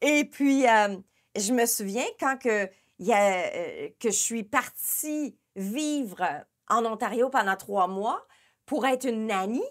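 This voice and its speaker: On a very clean recording with a silent background, a woman talks at a very slow pace with long, frequent pauses. Her pitch is fairly high, with ordinary pitch variation. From Quebec, Abitibi. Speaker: interview host. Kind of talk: casual interview.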